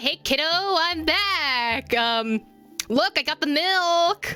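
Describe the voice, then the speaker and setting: Over faint music in the background, a woman uses a put-on character voice at a very slow pace. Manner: casual, slightly awkward, reconciling.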